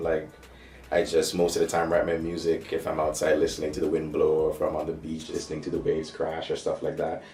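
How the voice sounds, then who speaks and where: A man with a Caribbean accent talks at a fairly quick pace, with audible room echo around him. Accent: Caribbean island. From St. Maarten, Caribbean. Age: 20s. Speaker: rapper and songwriter. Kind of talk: interview answers.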